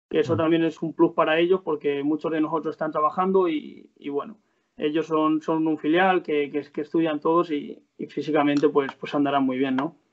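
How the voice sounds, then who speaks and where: Fairly high-pitched and at a fairly quick pace, a man talks in an unremarkable speaking voice. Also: fairly even intonation. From Spain, Salamanca province (Guijuelo area). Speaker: footballer. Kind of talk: interview.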